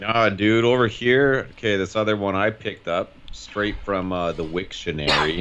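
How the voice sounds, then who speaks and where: With an ordinary speaking voice, a man speaks at a moderate pace and a fairly low pitch, with ordinary pitch variation and hardly any pauses. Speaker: podcast guest. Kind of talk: casual chat.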